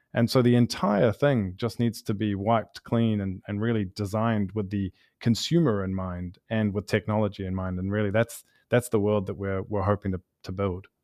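Speaking with a New Zealand accent, a man uses a fairly low pitch and fairly even intonation at a moderate pace. The sound is dry and close with no echo, and the background is quiet. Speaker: startup founder and CEO, pharmacist by training. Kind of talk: interview. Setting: studio.

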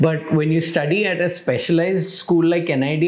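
A man with a high-pitched voice talks at a moderate pace. Noticeable background noise runs underneath. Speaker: podcast host. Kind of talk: interview conversation.

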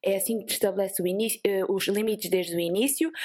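A woman with a coastal Portuguese accent speaks at a moderate pace with ordinary pitch variation, in a very clean recording with a silent background. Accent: sing-song coastal Portuguese. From Portugal, Vieira (coastal). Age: 20s. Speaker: productivity entrepreneur, co-founder. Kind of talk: casual interview chat. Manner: animated.

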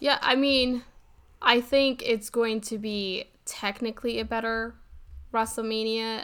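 On a very clean recording with a silent background, a woman with a fairly high pitch and a bright, sharp tone speaks at a fairly slow pace with ordinary pitch variation. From Puerto Rican heritage. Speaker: podcast co-host. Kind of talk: casual chat.

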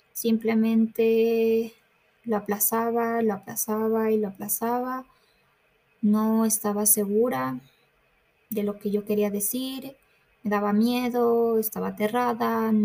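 Over music in the background, a woman with a fairly high pitch speaks at a very slow pace, with long, frequent pauses and fairly even intonation. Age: 20s. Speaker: podcast host, university student. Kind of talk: casual monologue. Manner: hesitant, many fillers.

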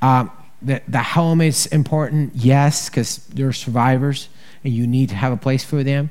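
The speaker has a Colombian accent and talks at a moderate pace with fairly even intonation. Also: man, medium pitch for a man. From Colombia, Bogota. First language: Spanish. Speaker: charity director. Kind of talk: testimony. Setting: stage with audience. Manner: halting.

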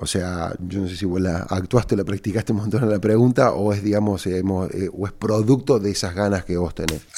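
With hardly any pauses, a man speaks in a dark, mellow tone at a fairly low pitch, his intonation fairly even. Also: fairly quick pace. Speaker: entrepreneur and podcast host. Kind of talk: casual advice monologue answering listener questions. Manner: halting, with repeated words.

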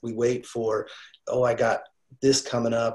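A somewhat breathy man's voice, medium in pitch, at a moderate pace. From Wyoming. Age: 50s. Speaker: accountability coach in recovery. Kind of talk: casual interview.

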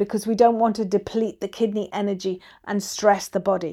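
A woman speaks in an Irish accent with a dark, mellow tone, recorded very cleanly against a silent background. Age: 50s. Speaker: qigong and acupressure teacher. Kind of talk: podcast monologue, instructional.

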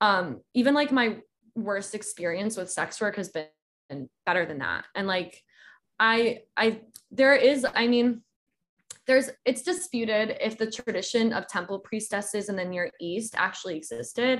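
In a normal speaking voice, a woman with an American accent talks at a fairly slow pace, her pitch fairly high and her intonation lively. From US South, Georgia. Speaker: author and practicing witch. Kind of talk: casual chat.

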